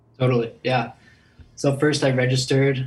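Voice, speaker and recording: This man's voice comes across as somewhat breathy. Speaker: contest finalist.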